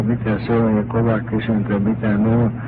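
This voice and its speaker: There is audible room echo and noticeable background noise as a man speaks at medium pitch with monotone, flat intonation. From Petsamo, far northern Finland (Sea Sami). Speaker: oral history storyteller. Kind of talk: oral history narration. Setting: home cassette recording.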